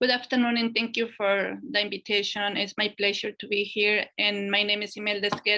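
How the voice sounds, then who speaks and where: Speaking fairly quickly in a Spanish accent, the voice stays monotone and flat over noticeable background noise. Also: woman. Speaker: women's leadership program manager. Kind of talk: panel webinar introduction.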